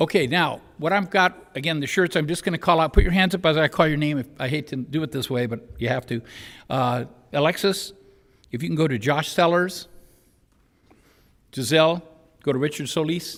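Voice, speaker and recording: A man talks at a fairly high pitch with ordinary pitch variation. His pace is fairly quick, broken by long, frequent pauses. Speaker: mock trial team coach. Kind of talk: public meeting recognition. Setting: school board meeting room. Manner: loud.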